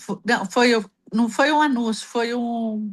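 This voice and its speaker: A woman with a high voice talks at a very slow pace. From Brazil, Ibitinga, São Paulo state. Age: 60s. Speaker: embroiderer, caller on advice livestream. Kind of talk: casual chat. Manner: animated.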